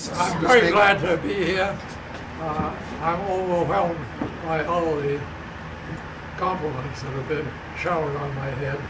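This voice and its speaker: A man's speech broken by long, frequent pauses, against loud background noise. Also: fairly slow pace. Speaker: war veteran. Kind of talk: birthday speech. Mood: warm, humble, gently humorous. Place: home room. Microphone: camera far.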